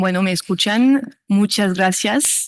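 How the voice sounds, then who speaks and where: Against a quiet background, a woman with a French accent speaks at a fairly slow pace and a medium pitch. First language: French (speaking Spanish). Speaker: law professor. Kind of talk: lecture. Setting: conference stage. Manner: reading from notes, halting.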